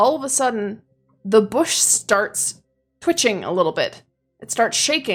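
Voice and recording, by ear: Someone is reading aloud in a natural voice, the intonation lively and the backdrop quiet.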